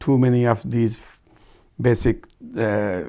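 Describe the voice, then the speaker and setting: A man with a Pakistani Punjabi accent talks at a very slow pace and a medium pitch. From Pakistan, Punjab (rural Rawalpindi). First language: Urdu/Punjabi. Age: 60s. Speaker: oral history interviewee. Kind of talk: oral history interview. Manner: halting, many fillers.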